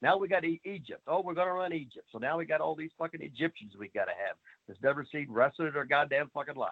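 Very fast speech with big swings in loudness, an animated tone and ordinary pitch variation. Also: man, fairly high pitch for a man. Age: 60s. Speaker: wrestling trainer. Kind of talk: casual interview. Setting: video call.

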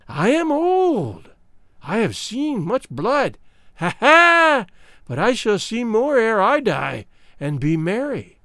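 Someone puts on a shrill character voice with a fairly high pitch, very wide pitch swings and a fairly slow pace. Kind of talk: horror storytelling. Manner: wailing, gloating prophetic frenzy.

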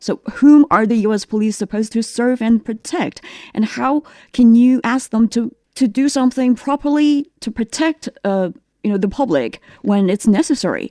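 A woman speaks with a Chinese accent. Her tone is dark and mellow. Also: fairly high pitch for a woman, ordinary pitch variation, moderate pace. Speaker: talk show host. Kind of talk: panel discussion moderation. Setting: studio.

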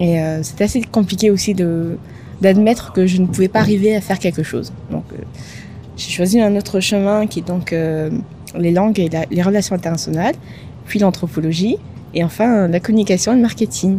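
A woman speaks at medium pitch and a moderate pace, with long, frequent pauses. Her pitch varies an ordinary amount, and background noise is noticeable. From Madagascar. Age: 30s. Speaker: podcast co-founder. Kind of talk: interview conversation.

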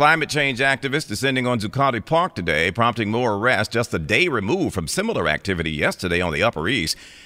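A man at medium pitch, very fast with hardly any pauses and very wide pitch swings, over noticeable background noise. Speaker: radio news anchor. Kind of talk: radio news anchor reading a brisk, scripted local headline bulletin. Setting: radio studio. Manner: crisp, formal, steady newsreader delivery.

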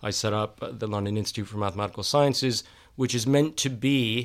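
In an ordinary speaking voice with an American accent, a man talks at a fairly quick pace and medium pitch with ordinary pitch variation, in a very clean recording over a silent background. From Texas. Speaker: scientist. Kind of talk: casual chat.

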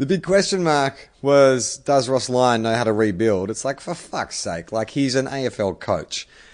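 With an Australian accent, a man speaks at medium pitch and a moderate pace, his intonation lively against a quiet background. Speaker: podcast host. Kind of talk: casual chat. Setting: video call.

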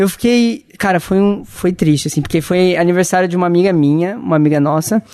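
High-pitched male speech over noticeable background noise. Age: 20s. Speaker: journalist. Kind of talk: casual chat. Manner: soft-spoken.

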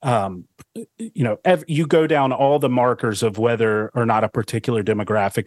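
Recorded dry and close with no echo in a very clean recording with a silent background, a man with a normal speaking voice talks at a moderate pace with ordinary pitch variation. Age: 30s. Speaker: entrepreneur. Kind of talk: casual interview chat.

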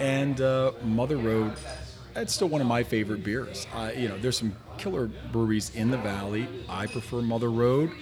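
With an American accent, a man talks at a moderate pace and medium pitch with ordinary pitch variation over noticeable background noise. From New Jersey. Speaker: foodie group admin and guest. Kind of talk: casual round-table chat. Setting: brewery taproom.

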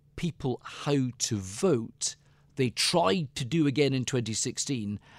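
In a Scottish accent, a man speaks very slowly at a medium pitch with very wide pitch swings, his voice dry and close with no echo on a very clean recording with a silent background. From Scotland. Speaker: author and business political adviser. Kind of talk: interview. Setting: studio.

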